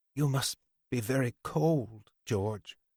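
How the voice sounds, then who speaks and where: Recorded dry and close with no echo, a man uses a put-on character voice at medium pitch. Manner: tentative.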